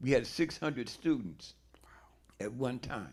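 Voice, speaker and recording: Vocal fry runs through this man's voice as he talks at a fairly slow pace. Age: 80s+. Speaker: audience member, former educator. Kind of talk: audience question.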